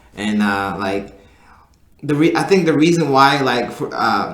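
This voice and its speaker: The room echo is audible as a man speaks at a fairly slow pace. His medium pitch moves with lively intonation. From Sudan and Egypt, moved to US as a child. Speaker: podcast guest. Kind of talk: casual chat. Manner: halting, many fillers.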